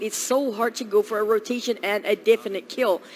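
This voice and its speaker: A woman speaks in an animated tone at a fairly high pitch. Noticeable background noise runs behind her. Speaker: esports caster. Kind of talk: live commentary.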